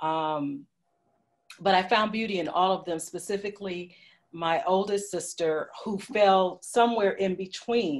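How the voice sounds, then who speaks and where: Her pitch at a medium level and varying in an ordinary way, a woman talks in a plain, everyday voice. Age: 60s. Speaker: panelist. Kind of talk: panel discussion.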